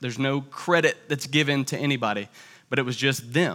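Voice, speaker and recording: In a very clean recording with a silent background, a man speaks with an American accent. His fairly high voice has a bright, sharp tone. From US South (Tallahassee, Florida). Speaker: church family ministries director. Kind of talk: sermon.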